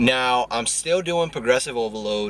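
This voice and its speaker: Noticeable background noise accompanies a man speaking fairly slowly with fairly even intonation. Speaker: fitness vlogger. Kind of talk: vlog workout tutorial. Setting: at the gym.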